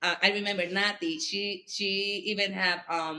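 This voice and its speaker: With a strong Puerto Rican accent, a woman speaks at a medium pitch in a bright, sharp tone with ordinary pitch variation. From Puerto Rico. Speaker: school board member and politician. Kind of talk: podcast interview. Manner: halting, many fillers.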